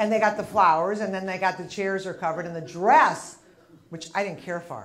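A woman's pitch moves in an ordinary way as light noise runs behind her. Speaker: stand-up comedian. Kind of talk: stand-up comedy set. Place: stage. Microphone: lapel.

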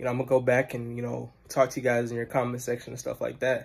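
A somewhat breathy male voice at a medium pitch, talking at a very fast pace. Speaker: student. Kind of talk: video self-introduction. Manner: casual. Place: home room. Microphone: phone near.

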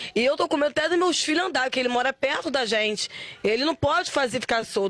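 A woman with a Carioca accent talks high in pitch with lively intonation, the sound dry with no echo. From Rio de Janeiro, Brazil. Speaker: mother of victim, interviewee. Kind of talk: emotional TV interview. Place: street. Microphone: handheld.

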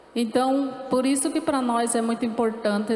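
Audible room echo around a woman's ordinary pitch variation. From Paraná coast, southern Brazil; Paraná, Brazil. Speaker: speaker. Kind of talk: panel talk. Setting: stage with audience. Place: stage. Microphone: handheld.

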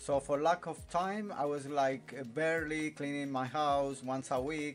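With faint music in the background, a man with an Italian accent speaks at a fairly slow pace in a fairly high pitch, with ordinary pitch variation. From Italy. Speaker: vlogger. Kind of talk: casual talk to camera. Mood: relaxed, a bit weary. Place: home room. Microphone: phone near.

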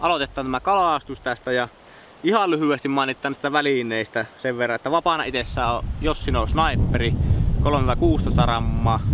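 A man's voice comes through dry, with no echo, over noticeable background noise. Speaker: angler vlogger. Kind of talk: tutorial. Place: waterside.

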